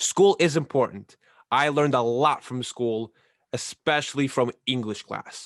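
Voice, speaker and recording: Dry and close with no echo, the recording has a quiet background. A man talks at medium pitch with ordinary pitch variation. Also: fairly slow pace. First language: not English. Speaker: ballroom dancer and podcast co-host. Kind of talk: casual podcast chat.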